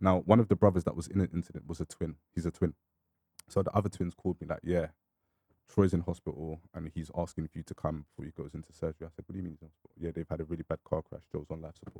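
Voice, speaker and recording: In a London accent, a man speaks very fast in a very deep, low pitch with a dark, mellow tone, flat monotone intonation and big swings in loudness, the sound dry and close with no echo. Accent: London multicultural English. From London (northwest and east). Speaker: grime artist. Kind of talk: casual interview chat.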